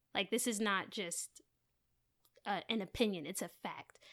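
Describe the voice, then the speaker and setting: On a very clean recording with a silent background, a woman with an American accent and an unremarkable speaking voice talks at a moderate pace, her medium pitch varying in an ordinary way. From US, New Jersey (Maplewood). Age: 20s. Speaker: rapper. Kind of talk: casual chat.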